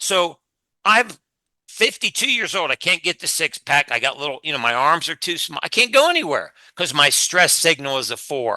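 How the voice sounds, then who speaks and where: This man's high voice has a bright, sharp tone and lively intonation, recorded dry and close with no echo against a quiet background. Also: moderate pace. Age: 60s. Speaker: fitness expert and former chiropractor. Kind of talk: podcast interview. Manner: animated.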